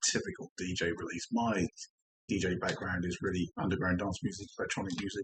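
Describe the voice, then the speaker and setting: A man with an English accent speaks at a moderate pace with a relaxed, somewhat breathy tone and fairly low pitch, in a dry, close sound with no echo. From England. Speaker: DJ and record collector. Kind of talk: casual vinyl collection show-and-tell. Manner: relaxed, with frequent ums.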